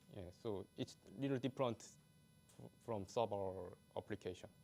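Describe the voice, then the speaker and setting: Music plays in the background as a man with a non-native accent talks at a moderate pace and a fairly low pitch, with ordinary pitch variation, big swings in loudness, and long, frequent pauses. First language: not English. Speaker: conference speaker, software developer. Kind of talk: conference talk with Q&A. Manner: halting.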